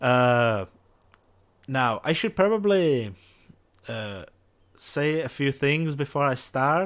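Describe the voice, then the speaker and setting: A man with a non-native accent speaks very slowly, with lively intonation and long, frequent pauses. The recording is very clean and the background silent. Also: fairly high pitch for a man. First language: not English. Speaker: gaming youtuber. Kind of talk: let's play commentary. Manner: halting, many fillers.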